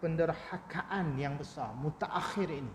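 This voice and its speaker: A soft-spoken man talks at a fairly slow pace, his pitch fairly high with ordinary variation. Noticeable background noise sits behind him. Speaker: Islamic preacher. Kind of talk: religious lecture.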